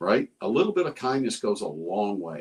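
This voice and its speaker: With a Texan accent, a man speaks at a fairly slow pace. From Texas, Round Rock. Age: 60s. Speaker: retired police officer. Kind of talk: casual chat.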